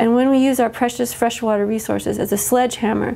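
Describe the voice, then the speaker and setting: At a fairly quick pace, a woman talks. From US Midwest, central Illinois. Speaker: biologist and author, activist. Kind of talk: interview, advocacy talk. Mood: earnest, concerned advocacy.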